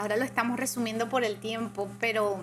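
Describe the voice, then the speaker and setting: Audible room echo can be heard in this recording. The woman's voice is fairly high in pitch. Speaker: churchgoer sharing testimony. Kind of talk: testimony.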